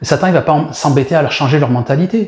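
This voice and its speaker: A man speaks in a dark, mellow tone that is somewhat breathy. His pitch is fairly high. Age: 60s. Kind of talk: sermon. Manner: animated.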